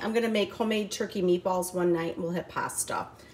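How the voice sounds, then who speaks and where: Noticeable noise sits in the background as a woman talks with an American accent. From Michigan, US. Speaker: vlogger. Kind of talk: casual vlog chat. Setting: home, outdoors on porch.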